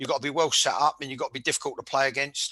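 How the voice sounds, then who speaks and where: A man speaks at a fairly high pitch with ordinary pitch variation. His tone is bright and sharp against a quiet background. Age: 60s. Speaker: former footballer, podcast host. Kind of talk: casual football chat. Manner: stumbling repetitions; animated.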